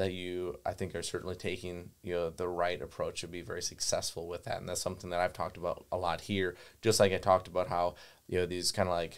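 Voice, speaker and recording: A man with a Wisconsin accent at a very fast pace, on a very clean recording with a silent background. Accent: Upper Midwest (Wisconsin) US. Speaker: gun dog trainer and kennel owner. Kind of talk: podcast conversation. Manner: filler-heavy, repetitive phrasing.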